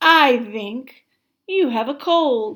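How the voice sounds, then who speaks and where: A woman puts on a high-pitched character voice. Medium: read story. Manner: calm, matter-of-fact.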